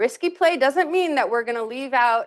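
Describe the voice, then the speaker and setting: Her voice is high-pitched and full of very wide pitch swings, and the woman has a slight non-native accent. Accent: barely noticeable non-native. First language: not English. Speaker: nonprofit director. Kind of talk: seminar talk. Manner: conversational, casual.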